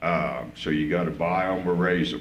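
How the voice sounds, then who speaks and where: There is audible room echo as a man talks with a Midwestern US accent. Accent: rural Midwestern American. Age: 60s. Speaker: coyote hunter speaking at public comment. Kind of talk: public comment at a commission meeting. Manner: halting, repetitive.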